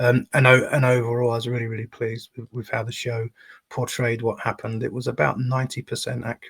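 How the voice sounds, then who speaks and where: Speaking fast-ish with a London accent, a man with a medium pitch sounds somewhat breathy in a dry, close recording with no echo. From southeast London. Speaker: anti-fascist campaigner. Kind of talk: live-streamed interview.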